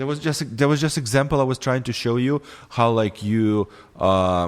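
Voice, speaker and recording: Recorded very cleanly with a silent background, a man of medium pitch speaks at a moderate pace with a non-native accent and lively intonation. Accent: non-native English, imperfect pronunciation. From former Soviet Union. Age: 30s. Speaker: podcast guest, filmmaker. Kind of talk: heated debate; casual chat. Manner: halting.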